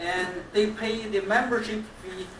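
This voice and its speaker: Over noticeable background noise and audible room echo, a woman with a non-native accent speaks at a fairly high pitch with ordinary pitch variation. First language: Chinese. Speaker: toastmasters club member. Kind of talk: anniversary speech. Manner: halting.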